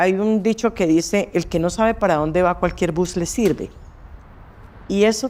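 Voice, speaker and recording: A woman speaks at a fairly slow pace. Her pitch is fairly low, and her tone is dark and mellow. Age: 60s. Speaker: accountant. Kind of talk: interview.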